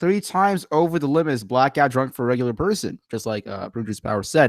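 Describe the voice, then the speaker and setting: Speaking very fast with an American accent, a man has a fairly high pitch and very wide pitch swings. His tone is animated, and the recording is very clean with a silent background. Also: dry, close sound with no echo. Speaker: YouTube show host. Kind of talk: live stream commentary. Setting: live stream.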